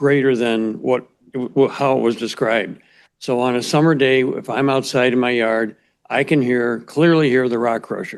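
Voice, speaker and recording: With an American accent and an ordinary speaking voice, a man talks at medium pitch and a moderate pace with fairly even intonation. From Chicago. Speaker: resident giving public comment. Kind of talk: public hearing comment.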